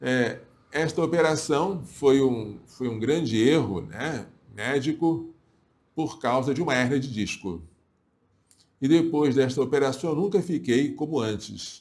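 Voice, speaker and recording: A man with a fairly high pitch and vocal fry, lively intonation, a fairly slow pace, and long, frequent pauses. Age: 60s. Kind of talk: religious talk to viewers. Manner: halting.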